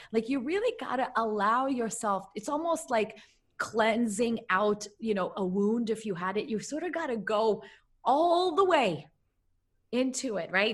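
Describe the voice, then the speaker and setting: A somewhat breathy woman with a fairly high pitch speaks at a fairly slow pace with lively intonation. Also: quiet background. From Russia, moved to the US at twelve. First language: Russian. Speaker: mindset coach and author. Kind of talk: podcast interview.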